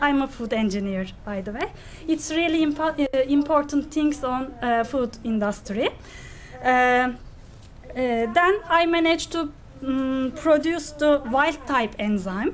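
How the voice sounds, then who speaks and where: With a Turkish accent, a woman speaks at a fairly slow pace in a high pitch, her intonation lively. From Turkey. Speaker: graduate student researcher. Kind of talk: conference presentation. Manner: halting.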